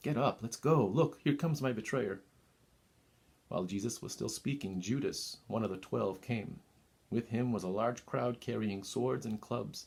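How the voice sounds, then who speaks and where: A man with an ordinary speaking voice talks at a moderate pace and medium pitch with ordinary pitch variation. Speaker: reader of a scripture passage and monologue. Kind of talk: scripture reading.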